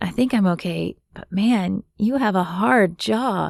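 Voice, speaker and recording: A female-sounding voice performs a put-on character voice that is raspy and at a medium pitch. The pace is fairly slow. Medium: read story.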